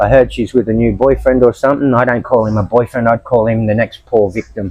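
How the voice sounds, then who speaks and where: In an Australian accent, a man speaks very fast at a medium pitch with fairly even intonation. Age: 70s. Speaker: homeless expat. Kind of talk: interview testimony. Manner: halting.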